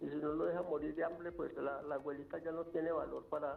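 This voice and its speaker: A man rattles off his words at a very fast pace while noticeable noise fills the background. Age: 70s. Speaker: caller. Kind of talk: phone-in opinion. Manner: halting, repeats words.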